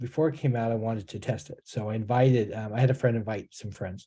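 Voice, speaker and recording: In a General American accent, a man speaks at a fairly quick pace with a medium pitch and ordinary pitch variation. His tone is dark and mellow, and somewhat breathy. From California. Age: 60s. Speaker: author. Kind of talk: interview. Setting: video call. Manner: halting, many repeats.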